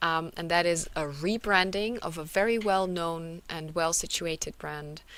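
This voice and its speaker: Speaking with a German accent, a woman talks at a fairly slow pace in a fairly low pitch, her intonation fairly even. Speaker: conference speaker, localization company representative. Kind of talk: conference presentation. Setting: virtual conference. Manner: hesitant, many fillers.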